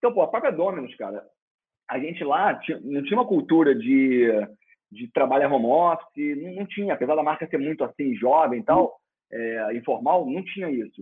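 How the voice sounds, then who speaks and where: An ordinary speaking voice, a man at a fairly quick pace with lively intonation. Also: fairly high pitch for a man. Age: 30s. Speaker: former pizza chain executive. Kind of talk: interview.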